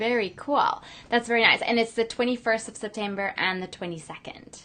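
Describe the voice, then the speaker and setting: A woman's fairly high voice at a fairly quick pace, ordinary pitch variation, noticeable background noise. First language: not English. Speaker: business coach and show host. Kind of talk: interview. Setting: live stream video call.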